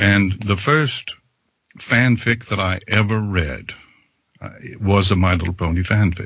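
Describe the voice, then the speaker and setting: A man at a fairly low pitch with ordinary pitch variation, a fairly slow pace and long, frequent pauses. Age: 60s. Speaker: fanfic audiobook narrator. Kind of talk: casual chat.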